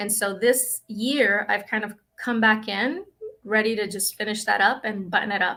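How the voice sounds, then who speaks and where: In a very clean recording with a silent background, a woman with a fairly high, bright and sharp voice talks at a moderate pace with fairly even intonation. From Dominican Republic, raised in Brooklyn. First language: Spanish. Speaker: school psychologist. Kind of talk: interview.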